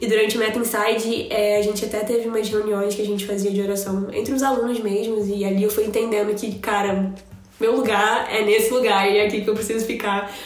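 In a room with audible echo and noticeable background noise, a woman speaks at a fairly quick pace, her fairly high pitch delivered in a monotone, flat intonation. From Rio de Janeiro, Brazil. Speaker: churchgoer sharing faith experience. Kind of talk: casual chat.

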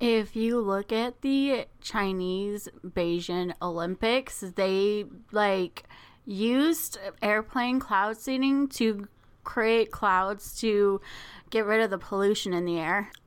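On a very clean recording with a silent background, a woman at medium pitch speaks at a very slow pace, her loudness very even and her pitch variation ordinary. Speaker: podcast host. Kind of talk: casual chat. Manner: excitable.

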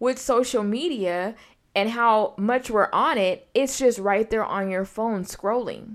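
A woman with a fairly high pitch has a normal speaking voice. Her pace is fairly slow, with ordinary pitch variation. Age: 30s. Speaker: podcast host. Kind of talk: solo monologue podcast. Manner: casual, expressive with laughter.

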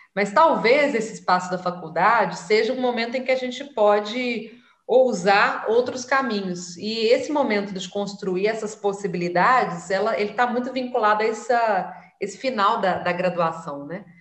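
At a moderate pace, a woman speaks with fairly high pitch, and audible room echo surrounds her voice. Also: ordinary pitch variation. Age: 30s. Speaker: city councillor and activist. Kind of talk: interview.

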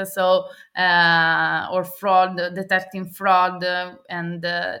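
Her pitch medium and her tone bright and sharp, a woman talks in an Italian accent with monotone, flat intonation. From Italy. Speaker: AI ethics expert. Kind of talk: interview. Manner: hesitant, many fillers.

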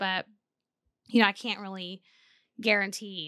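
An ordinary speaking voice from a woman with an American accent, at a fairly quick pace with ordinary pitch variation. The sound is dry and close with no echo, and the recording is very clean with a silent background. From South Texas. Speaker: sex therapist and podcast co-host. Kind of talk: casual chat.

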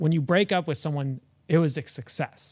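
In a very clean recording with a silent background, a man with a normal speaking voice talks at a moderate pace, his fairly high pitch held in fairly even intonation. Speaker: guest, husband. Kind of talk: casual chat.

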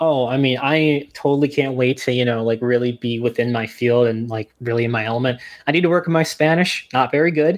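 With an American accent and a normal speaking voice, a man talks at a fairly quick pace with hardly any pauses, his medium pitch showing ordinary variation. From New Jersey. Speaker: archaeology PhD student and author. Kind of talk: podcast interview.

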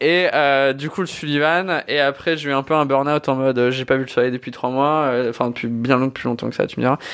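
A man with a normal speaking voice talks at a fairly quick pace in a fairly high pitch, his intonation fairly even and hardly any pauses between words. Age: 20s. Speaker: podcast host, bartender. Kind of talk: casual chat.

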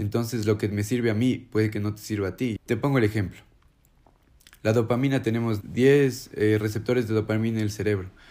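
A fairly low, dark, mellow male voice at a fairly quick pace, with fairly even intonation. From Ecuador. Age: 20s. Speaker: recovering addict. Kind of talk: personal testimony.

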